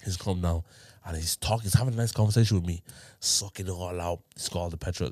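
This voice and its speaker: A man with a London accent talks at a very fast pace in an animated tone, his very deep, low pitch showing ordinary variation, on a very clean recording with a silent background. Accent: London multicultural English. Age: 20s. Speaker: podcast host. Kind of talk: casual chat. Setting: studio.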